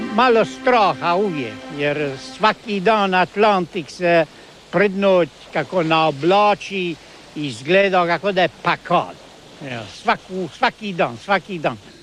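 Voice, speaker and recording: A man speaks with a high pitch and lively intonation, at a very slow pace. Music plays in the background. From Korcula, Croatia. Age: 60s. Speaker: sailor. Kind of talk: interview answer.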